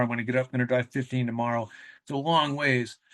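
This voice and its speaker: Talking at a very fast pace, a man with an American accent keeps a medium pitch and fairly even intonation. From New England, US (New Hampshire). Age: 50s. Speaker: ultramarathon runner. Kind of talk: interview conversation. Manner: casual, rambling with fillers.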